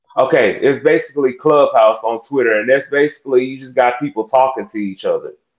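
A man with an American accent and a normal speaking voice, medium in pitch, fairly quick, fairly even in intonation, with big swings in loudness. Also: hardly any pauses. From Texas. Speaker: church music director. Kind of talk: casual interview.

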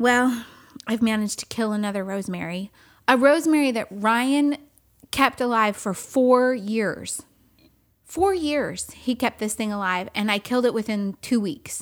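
In a plain, everyday voice, a woman with an American accent talks at a moderate pace and a fairly high pitch, with ordinary pitch variation, on a very clean recording with a silent background. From California. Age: 40s. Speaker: podcast co-host. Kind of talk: casual chat. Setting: home studio. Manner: laughs often.

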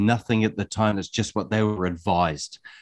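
In a quiet background, a man with a New Zealand accent talks at a moderate pace and medium pitch. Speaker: podcast co-host. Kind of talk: interview.

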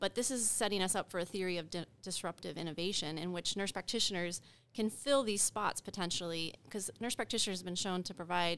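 With a normal speaking voice, a woman talks at a fairly quick pace and medium pitch with ordinary pitch variation, in a very clean recording with a silent background. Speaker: nurse practitioner educator. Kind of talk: panel discussion.

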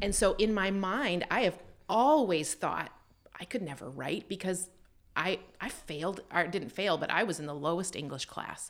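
A woman with a Canadian accent and a normal speaking voice talks at a moderate pace and medium pitch with lively intonation. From Canada. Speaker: photographer and aspiring author. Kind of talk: interview.

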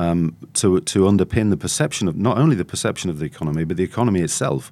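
A man speaks with a Yorkshire accent and ordinary pitch variation on a very clean recording with a silent background. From northern England (North Yorkshire). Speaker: journalist/commentator. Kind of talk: casual chat.

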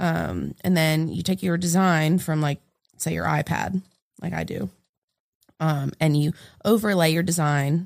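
The woman's voice is very deep and low, with ordinary pitch variation. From New England. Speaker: street artist and muralist. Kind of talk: casual chat.

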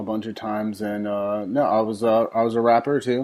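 This man has a normal speaking voice at medium pitch, with an American accent. He talks at a moderate pace. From Elizabeth, New Jersey. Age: 30s. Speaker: filmmaker and musician. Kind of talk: casual interview.

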